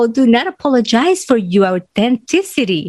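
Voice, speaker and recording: A woman speaks with a strong Spanish accent and very wide pitch swings at a moderate pace. The sound is dry and close, with no echo. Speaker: podcast host and confidence coach. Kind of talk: motivational podcast monologue.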